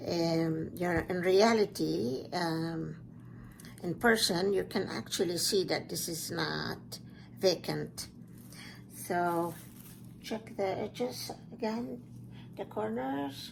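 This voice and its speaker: Speaking at a very slow pace with long, frequent pauses, a woman with a non-native accent uses lively intonation at a fairly low pitch. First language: not English. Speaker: fluid art instructor. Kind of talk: tutorial. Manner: halting.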